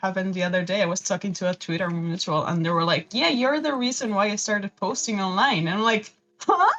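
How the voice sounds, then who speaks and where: Speaking at a fairly quick pace with hardly any pauses, a woman uses lively intonation and an animated tone at a medium pitch. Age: 20s. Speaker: fan artist and animation student. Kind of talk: casual chat. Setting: livestream.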